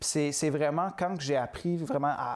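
The background is quiet. A man speaks at a moderate pace with a fairly high pitch. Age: 20s. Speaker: entrepreneur; guest. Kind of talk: interview. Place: studio. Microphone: lapel.

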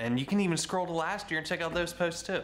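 A man talks while faint music plays behind him. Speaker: vlogger. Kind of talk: casual vlog chat. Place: home room. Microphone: phone near.

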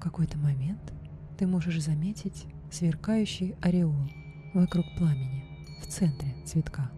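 Soft-spoken and soothing, a woman keeps her loudness very even in a dry recording with no echo while music plays in the background. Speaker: meditation guide. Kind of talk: guided meditation / hypnosis for lucid dreaming. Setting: studio recording with background music and binaural beat. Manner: slow, soft, soothing.

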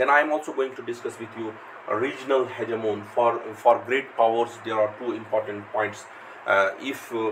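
Over light background noise, a man is speaking. His pace is moderate and his intonation fairly even. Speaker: lecturer. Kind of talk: lecture. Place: home room.

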